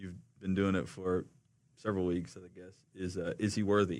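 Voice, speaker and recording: In a relaxed tone, a man speaks at a fairly low pitch. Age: 30s. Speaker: worship pastor. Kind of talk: casual interview chat. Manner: relaxed, joking.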